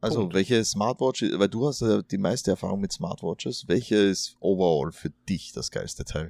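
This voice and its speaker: With a dark, mellow tone and fairly low pitch, a man speaks at a moderate pace with ordinary pitch variation, the sound dry and close with no echo. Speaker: podcast host. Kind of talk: casual chat. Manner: hesitant, many fillers.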